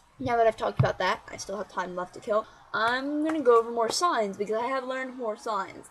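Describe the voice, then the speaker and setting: A woman talks at a fairly quick pace with fairly high pitch. Her intonation is lively. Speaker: vlogger. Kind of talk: casual vlog monologue. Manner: fast; animated.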